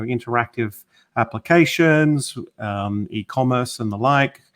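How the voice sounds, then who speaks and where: A man with a slight Australian accent speaks at medium pitch with ordinary pitch variation. The recording is very clean, the background silent. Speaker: technology consultant. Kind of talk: interview. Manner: halting, many fillers.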